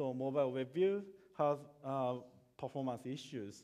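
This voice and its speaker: A man speaks with a Japanese accent at a medium pitch. His tone is dark and mellow, and his intonation stays fairly even. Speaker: software developer. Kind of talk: conference talk. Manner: halting, many fillers and repetitions.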